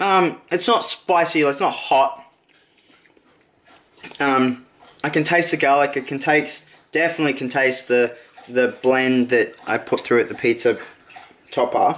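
A man's medium-pitched, fairly bright voice at a fairly slow pace, with ordinary pitch variation and long, frequent pauses.

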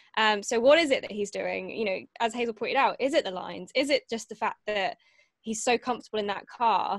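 In a dry sound with no echo and a quiet background, a woman speaks at a moderate pace with lively intonation. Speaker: podcast guest. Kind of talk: interview answer. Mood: animated, enthusiastic. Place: home room. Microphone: video call.

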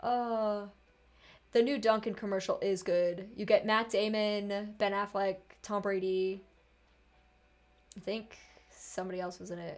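In a slight Boston accent, a woman talks with monotone, flat intonation and long, frequent pauses. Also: medium pitch for a woman, fairly slow pace, big swings in loudness. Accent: faint Boston.

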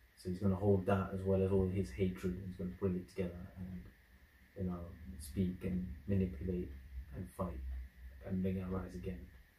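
A man with a British accent, very deep and low in pitch, with a dark, mellow tone, somewhat breathy, at a fairly quick pace with ordinary pitch variation and audible room echo. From UK. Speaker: YouTube reactor. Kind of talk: video reaction commentary. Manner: casual, animated. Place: home room. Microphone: camera far.

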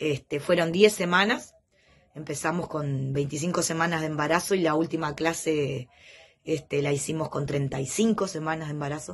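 A woman speaks at a fairly slow pace in a Uruguayan accent. Her voice is very deep and low, somewhat breathy, with ordinary pitch variation. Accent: Uruguayan Rioplatense Spanish. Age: 40s. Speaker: patient giving a testimonial. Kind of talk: testimony. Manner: hesitant, many fillers. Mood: warm, grateful. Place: home room. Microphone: phone near.

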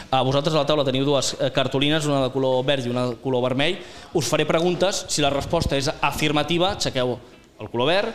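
The speech moves at a very fast pace. The pitch varies in an ordinary way. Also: man. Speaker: show host. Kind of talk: talk show hosting, quiz questions. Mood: playful, joking. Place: bar. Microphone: handheld.

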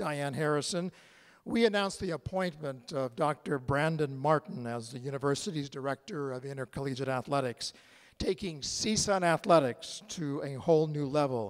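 With a quiet background, the voice keeps a moderate pace and ordinary pitch variation. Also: man. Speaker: event host at a podium. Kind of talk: formal welcome speech. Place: hall. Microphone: podium.

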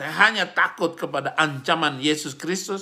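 A man talks at a fairly high pitch in a bright, sharp tone. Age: 50s. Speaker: preacher. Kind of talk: religious commentary monologue.

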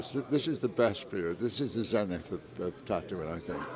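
At a moderate pace, lively intonation comes through a dry sound with no echo and noticeable background noise. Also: man. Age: 80s+. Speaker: tattoo artist. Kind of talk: interview answer. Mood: warm, enthusiastic. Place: hall. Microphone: lapel.

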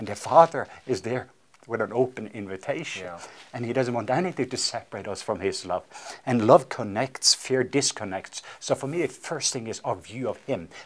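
A man with a Norwegian accent, moderate pace and lively intonation. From Norway. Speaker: evangelist. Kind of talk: interview. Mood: warm, earnest. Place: studio. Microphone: lapel.

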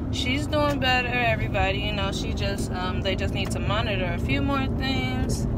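Loud background noise sits under the recording. Over it, a woman talks at a moderate pace. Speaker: vlogger. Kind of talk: casual vlog chat. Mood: upbeat, excited. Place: car. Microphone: phone near.

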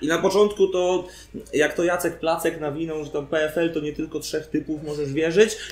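The delivery is monotone and flat at a moderate pace. Room echo is audible. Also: man, high pitch for a man. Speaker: freestyle rapper; guest. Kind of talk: casual interview. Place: bar. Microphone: camera far.

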